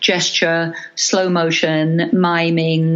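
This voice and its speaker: A woman talks at a very slow pace in a monotone, flat intonation. Her pitch is fairly low, and music plays behind her. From London. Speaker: Irish dance teacher and choreographer. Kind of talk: interview answer.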